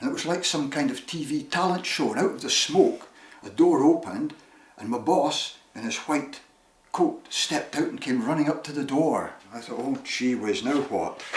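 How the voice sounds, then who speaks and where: In a room with audible echo and noticeable background noise, a man talks with a Shetland accent. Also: moderate pace. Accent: Shetland Scottish. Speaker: storyteller. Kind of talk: personal storytelling. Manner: animated.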